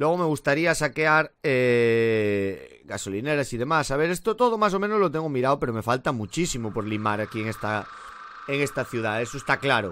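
Lively intonation and moderate pace from a man. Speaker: gaming youtuber. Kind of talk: let's play commentary. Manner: casual, filler-heavy. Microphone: current mic, new Blue Yeti coming.

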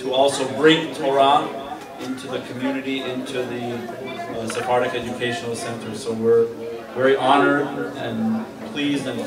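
Noticeable background noise behind a man's moderate-paced speech. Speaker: guest. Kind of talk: ceremonial speech. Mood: warm, celebratory. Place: hall. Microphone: camera far.

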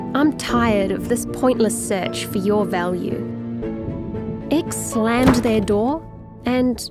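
Very slow speech from a woman, music playing behind her. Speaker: narrator. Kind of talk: rhyming story narration.

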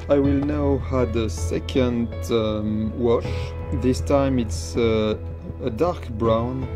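Someone with a French accent talks at a very slow pace. Clear music plays in the background. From France. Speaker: miniature painter. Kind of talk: painting tutorial narration. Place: workshop.

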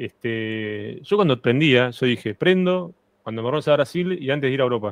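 A man at a moderate pace with lively intonation, dry with no echo, over a quiet background. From Argentina. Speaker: guest streamer; guest. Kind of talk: casual chat. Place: home room. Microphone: studio mic.

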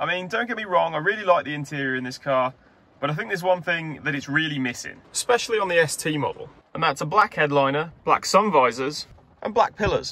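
A man talks at a fairly quick pace in a dry recording with no echo. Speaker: car modding vlogger. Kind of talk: casual vlog chat. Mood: light, jokey. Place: car. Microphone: phone near.

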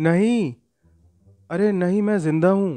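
A man uses a put-on character voice, pitched high. It sounds strained. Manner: groaning, strained.

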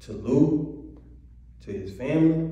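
A man at a very slow pace, amid strong room echo. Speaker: speaker. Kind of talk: personal testimony or speech. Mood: earnest, troubled. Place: church. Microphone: podium.

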